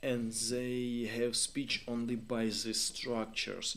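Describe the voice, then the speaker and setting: Very slow speech from a man at a medium pitch. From Ukraine. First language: Ukrainian. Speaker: live stream host. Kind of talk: live stream chat with viewers. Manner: halting, many fillers.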